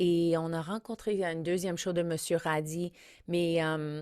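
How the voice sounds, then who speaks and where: A woman with an English accent speaks in a fairly low voice with fairly even intonation, on a very clean recording with a silent background. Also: dry, close sound with no echo. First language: English (speaking French). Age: 50s. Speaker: comedian and podcast host. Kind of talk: podcast intro monologue. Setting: studio.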